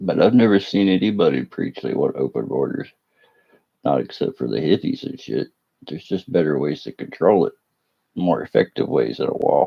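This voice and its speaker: In a strong Appalachian accent, a man speaks at a moderate pace. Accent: strong Appalachian rural. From West Virginia, Appalachia. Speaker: fireworks streamer. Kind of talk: casual live stream chat.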